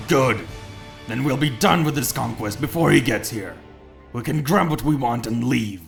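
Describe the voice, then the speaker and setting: A man uses a put-on character voice at a medium pitch while faint music plays in the background. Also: moderate pace. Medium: read story.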